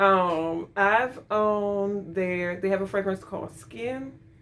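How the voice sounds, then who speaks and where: Music sounds in the background. Over it, a woman speaks fairly slowly. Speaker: fragrance reviewer. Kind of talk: product review. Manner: halting, many fillers and repeats.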